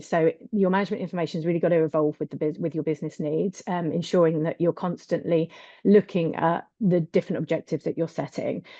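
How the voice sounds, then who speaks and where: A woman with a British accent, very fast pace and fairly even intonation. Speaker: accounting adviser on a business webinar panel. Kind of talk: webinar panel presentation. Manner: hesitant, many fillers.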